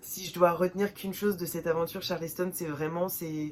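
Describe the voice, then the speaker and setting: The intonation is monotone and flat, with noticeable background noise. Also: woman. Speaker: book vlogger. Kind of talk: casual vlog talk. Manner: hesitant, many fillers.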